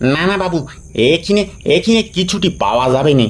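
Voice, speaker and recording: A man puts on a character voice, high in pitch with lively intonation. He goes at a fairly slow pace over light background noise. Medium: read story. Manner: nervous, stammering.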